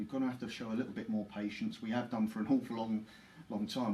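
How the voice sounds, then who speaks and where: Amid audible room echo, a man with a London accent talks very fast at a medium pitch with fairly even intonation. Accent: London accent, never shifted. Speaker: former footballer and club ambassador. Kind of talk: interview. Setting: live Facebook stream at football stadium.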